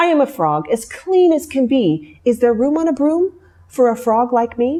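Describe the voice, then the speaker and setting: A woman puts on a croaky character voice. It is high-pitched and moves at a moderate pace. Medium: read story.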